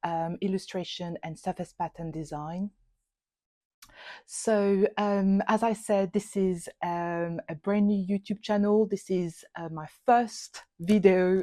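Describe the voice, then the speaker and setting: A woman with a French accent talks very slowly at medium pitch, with a dark, mellow tone and fairly even intonation. The sound is dry and close with no echo, on a very clean recording with a silent background. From France. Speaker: illustrator and YouTuber. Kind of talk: channel introduction talk. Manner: hesitant, many fillers.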